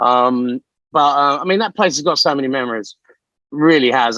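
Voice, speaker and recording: A man speaks with a fairly high pitch and a bright, sharp tone. The sound is dry and close, with no echo. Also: very clean recording, silent background. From East London, England. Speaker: former BMX racer. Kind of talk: casual interview chat.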